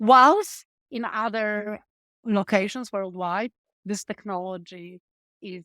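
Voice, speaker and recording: The sound is dry and close, with no echo. The speaker has a Polish accent. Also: woman, very clean recording, silent background. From Poland. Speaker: tech startup founder. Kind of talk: interview.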